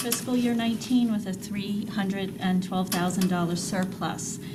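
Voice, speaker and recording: Noticeable background noise and audible room echo around a woman's medium-pitched voice. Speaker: accounting director. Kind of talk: presentation. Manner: fast.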